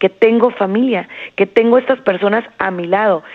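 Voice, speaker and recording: A woman talks in a normal speaking voice at a moderate pace. Her pitch varies in an ordinary way. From Jerez, Zacatecas, Mexico. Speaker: psychologist. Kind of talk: interview advice.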